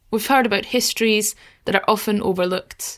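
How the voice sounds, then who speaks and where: A woman speaks in a plain, everyday voice. Her pitch is medium and her pace moderate. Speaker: podcast host, travel blogger. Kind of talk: interview conversation. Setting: video call.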